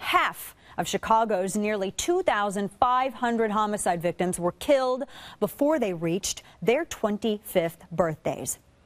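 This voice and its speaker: On a very clean recording with a silent background, a woman with a medium pitch talks at a moderate pace with lively intonation. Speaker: conservative radio host. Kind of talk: radio talk show monologue. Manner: fiery, impassioned.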